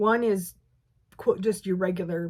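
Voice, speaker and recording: Medium pitch from a woman, somewhat breathy, with monotone, flat intonation at a moderate pace. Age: 60s. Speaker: quilting video creator. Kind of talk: casual unboxing chat. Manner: halting, many fillers and restarts.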